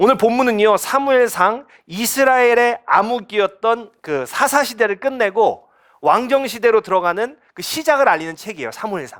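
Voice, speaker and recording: This man's voice sits extremely high in pitch. He talks with hardly any pauses over a very clean recording and a silent background. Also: ordinary pitch variation. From Chungcheong, South Korea. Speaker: pastor. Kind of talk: sermon. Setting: church.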